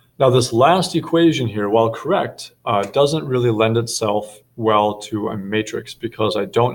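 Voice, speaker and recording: The speaker uses a normal speaking voice at a fairly slow pace. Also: man. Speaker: math teacher. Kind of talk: tutorial.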